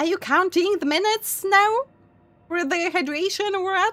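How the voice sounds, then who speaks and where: Putting on a squeaky character voice, a woman speaks at an extremely high pitch and a moderate pace, with ordinary pitch variation. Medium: virtual streamer. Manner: hesitant, laughing, chatty.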